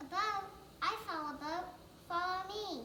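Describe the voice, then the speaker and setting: An extremely high, squeaky put-on character voice moves at a moderate pace with a slight echo and clear background noise. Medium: stage play. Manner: bubbly, forgetful.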